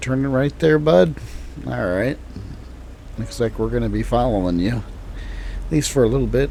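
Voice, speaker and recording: In a US Midwestern accent and a relaxed tone, the speaker goes at a moderate pace with long, frequent pauses over noticeable background noise. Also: man. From Illinois, US Midwest. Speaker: gaming streamer. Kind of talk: casual gameplay commentary. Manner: relaxed, casual.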